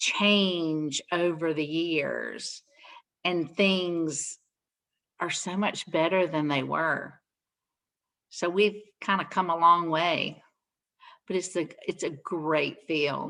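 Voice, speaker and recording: A loud woman's voice, bright and sharp in tone, very slow, with fairly even intonation and long, frequent pauses. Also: fairly low pitch for a woman. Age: 60s. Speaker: nurse. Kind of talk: Q&A session.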